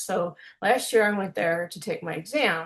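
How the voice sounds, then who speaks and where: A woman speaks with an Illinois accent. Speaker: music producer and youtuber, language learner. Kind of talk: casual chat.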